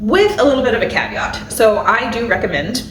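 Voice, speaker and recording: Audible room echo and noticeable background noise surround a woman whose pitch swings very widely. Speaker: family budget and meal planning YouTuber. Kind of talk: casual to-camera tutorial. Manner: rambling with filler words.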